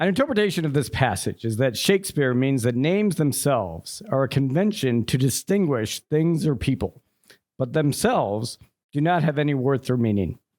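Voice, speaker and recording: Very wide pitch swings in an American accent, at a moderate pace with very even loudness. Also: man. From Chicago suburbs, Illinois. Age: 40s. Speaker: storyteller. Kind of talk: storytelling performance. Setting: stage with audience in a pub. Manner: read from paper.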